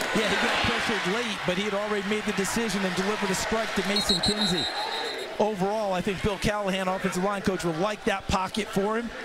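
Against noticeable background noise, a man with a high pitch speaks in a raised, projected voice at a very fast pace, his intonation monotone and flat and his loudness very even. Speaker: football color commentator. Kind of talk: live commentary. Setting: stadium broadcast booth.

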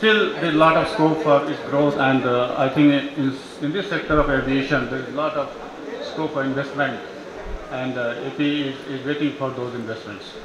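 Noticeable background noise and audible room echo surround speech at a moderate pace with fairly even intonation. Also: man. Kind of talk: conference speech. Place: hall. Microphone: podium.

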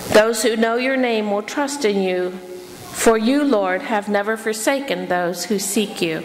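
A woman speaks at a very slow pace with ordinary pitch variation. Light background noise sits behind her. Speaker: lay preacher. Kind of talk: sermon. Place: church. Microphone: podium.

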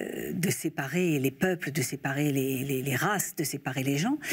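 Against a quiet background, a woman with a very deep, low pitch talks at a fairly slow pace with ordinary pitch variation. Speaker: interview guest, actress. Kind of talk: interview answer. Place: studio. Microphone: lapel.

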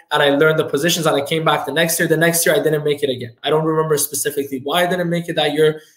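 A man's fairly high voice at a very fast pace with hardly any pauses, monotone and flat, in a quiet background with audible room echo. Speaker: entrepreneur, financial firm owner. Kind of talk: podcast interview. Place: office.

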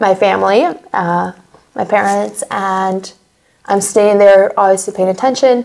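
The voice belongs to a woman. Her pitch is medium. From United States. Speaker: war survivor; interviewee. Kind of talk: interview testimony. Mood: earnest, recalling hard memories. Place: studio.

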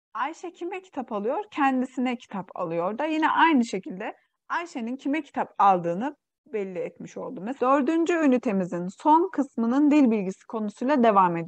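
Against a quiet background, a woman with a high pitch talks at a moderate pace. Her pitch swings very widely. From East Turkistan (Xinjiang), Uyghur. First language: Uyghur (speaking Turkish). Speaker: Turkish language teacher. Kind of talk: online language lesson.

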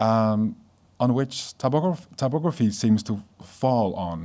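Against a quiet background, a man speaks. He has a Dutch accent. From Netherlands. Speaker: graphic designer. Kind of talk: lecture. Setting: stage with audience. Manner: halting. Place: hall. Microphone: podium.

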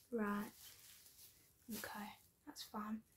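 Soft-spoken and relaxed in tone, this voice has monotone, flat intonation and a British accent. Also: woman. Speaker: ASMR creator playing an ICU doctor. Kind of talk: ASMR medical roleplay. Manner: soft-spoken, relaxed. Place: home room. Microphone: phone near.

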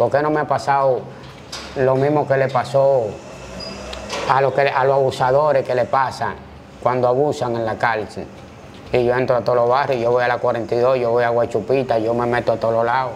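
There is light background noise as a man talks in a monotone, flat intonation, leaving long, frequent pauses. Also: moderate pace, very even loudness. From Dominican Republic, Santo Domingo (Gualey); Dominican Republic. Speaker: former prison inmate and street figure; interview guest. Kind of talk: interview testimony. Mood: firm, self-assured.

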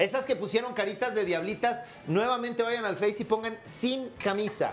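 A man speaks at a moderate pace in a high pitch with ordinary pitch variation, over faint background noise.

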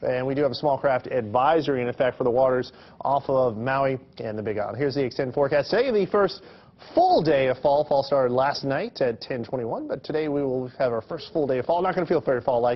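Ordinary pitch variation carries through as a man speaks at a very fast pace. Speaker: TV meteorologist. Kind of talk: local TV weather forecast, explaining a tropical disturbance on the map. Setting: TV studio. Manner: conversational, plain-spoken explainer with small hesitations; steady, reassuring broadcast delivery. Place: studio.

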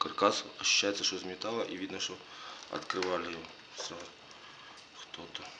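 Over loud background noise, a man with a very deep, low pitch speaks at a moderate pace. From Ukraine. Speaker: unboxing vlogger. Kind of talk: casual unboxing talk to camera. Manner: stutters.

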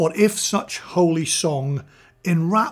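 Ordinary pitch variation over a quiet background. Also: man. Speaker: audio reviewer. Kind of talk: poetry reading for mic test. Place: home room. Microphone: studio mic.

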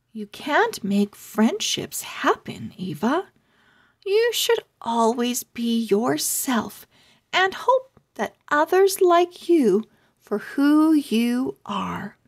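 Big pitch swings and a high pitch in a woman's put-on character voice, at a very slow pace

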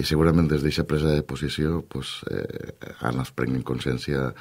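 A man talks at a moderate pace. His intonation is fairly even. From Valencia region, Canals (La Costera); Valencia region, Spain. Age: 40s. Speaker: politician. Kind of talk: radio interview. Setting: radio studio. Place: studio.

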